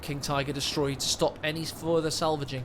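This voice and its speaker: Fairly high male voice with fairly even intonation over noticeable background noise. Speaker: game caster. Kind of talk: live commentary. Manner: whispering.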